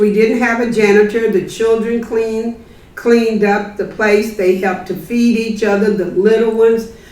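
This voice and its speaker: Over noticeable background noise and audible room echo, a woman with a fairly high voice speaks in a flat monotone at a moderate pace, hardly pausing. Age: 70s. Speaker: community activist. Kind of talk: audience comment at book talk.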